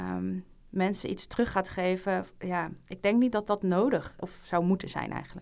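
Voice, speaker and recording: In a normal speaking voice, the speaker goes at a moderate pace with fairly even intonation. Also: woman, medium pitch for a woman. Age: 20s. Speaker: junior doctor. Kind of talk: casual chat.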